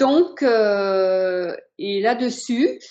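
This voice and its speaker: Ordinary pitch variation marks this woman's medium-pitched voice. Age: 60s. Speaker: patient giving testimonial. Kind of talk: testimony. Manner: hesitant, many fillers.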